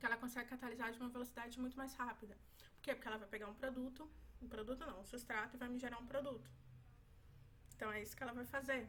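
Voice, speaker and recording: This woman talks at a very fast pace with a high pitch and a bright, sharp tone, yet with long, frequent pauses. Her intonation stays monotone and flat. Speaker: medical student. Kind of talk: exam review tutorial.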